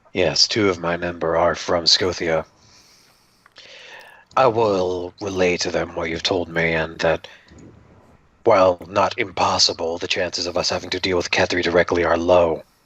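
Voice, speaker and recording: In a put-on character voice, a man speaks raspy and very deep, with monotone, flat intonation, a moderate pace and long, frequent pauses. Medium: actual play. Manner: polite, formal, inquisitive.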